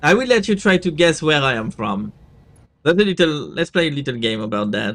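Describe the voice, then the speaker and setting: A man talks at a fairly quick pace with vocal fry and very wide pitch swings. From France. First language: French. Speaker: VTuber gaming streamer. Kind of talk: live gameplay stream chat. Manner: casual, hesitant with fillers.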